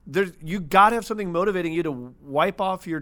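A man speaks with a Midwestern American accent. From US Midwest, St. Louis, Missouri. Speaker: media entrepreneur. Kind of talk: casual interview chat. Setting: studio.

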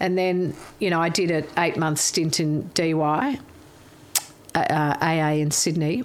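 A woman with an Australian accent, very slow pace, and long, frequent pauses, her pitch fairly low with ordinary variation. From Melbourne bayside, Australia. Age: 60s. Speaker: interview guest. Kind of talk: casual chat.

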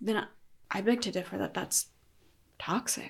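A woman talks at a fairly quick pace in a normal speaking voice with an American accent. Her pitch is medium, with ordinary pitch variation. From Colorado, US. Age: 20s. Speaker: podcast guest. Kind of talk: casual chat.

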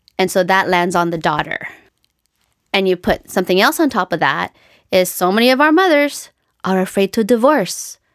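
On a very clean recording with a silent background, a woman with a medium pitch and lively intonation speaks with long, frequent pauses. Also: moderate pace. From Canada. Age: 40s. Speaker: occupational therapist and author. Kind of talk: casual interview.

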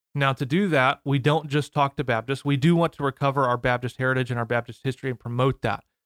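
A very fast, medium-pitched man with an American accent, hardly any pauses, and a dry, close sound with no echo. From US Midwest, St. Louis area (Missouri/Illinois). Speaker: theology PhD student and podcaster. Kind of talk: casual interview. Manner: enthusiastic.

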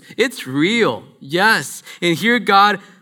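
Speaking with a Spanish accent, a man uses lively intonation and a bright, sharp tone. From Guatemala and California. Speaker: church minister. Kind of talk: sermon. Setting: church with congregation.

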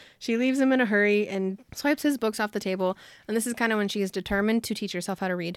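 Very fast, a woman of medium pitch talks with ordinary pitch variation on a very clean recording with a silent background. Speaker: book podcast co-host. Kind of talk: casual chat. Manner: fast talker; excitable.

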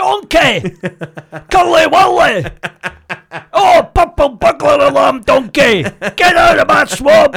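Using a put-on character voice at an extremely high pitch, a man talks at a fairly slow pace with long, frequent pauses.

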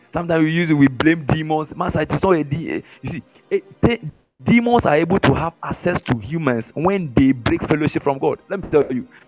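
Music plays in the background as a man talks at a fairly quick pace and fairly high pitch, his tone animated and his intonation lively, in a dry, close sound with no echo. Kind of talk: sermon teaching to live online congregation, call-and-response. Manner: animated, commanding, repeats each line for emphasis; rhythmic, urging crowd to shout and pray.

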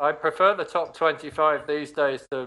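A man's fairly high, bright, sharp voice, dry and close with no echo. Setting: video call.

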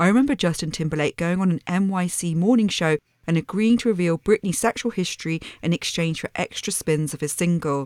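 This woman has an unremarkable speaking voice, fairly low in pitch with ordinary pitch variation, moving at a fairly quick pace in a dry, close sound with no echo. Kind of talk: casual chat. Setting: video call.

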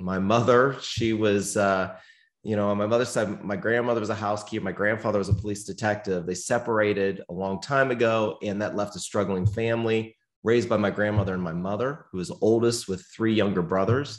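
Speaking fairly quickly with an American accent, a man has an unremarkable speaking voice, a fairly low pitch and fairly even intonation. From US Northeast, near Pittsburgh, Pennsylvania. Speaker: company CEO. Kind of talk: interview.

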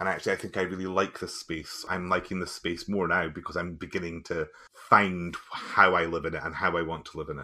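A man with a Highland Scottish accent, very deep and low in pitch, bright and sharp in tone, monotone and flat, fairly quick, with hardly any pauses. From Scottish Highlands. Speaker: musician and teacher. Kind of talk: interview conversation.

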